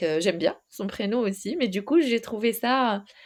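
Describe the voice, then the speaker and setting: Speaking at a fairly slow pace, a woman has a slight Moroccan accent. Her intonation is lively. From Morocco. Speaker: ADHD consultant. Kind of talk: podcast interview. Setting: recorded podcast. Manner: hesitant, many fillers.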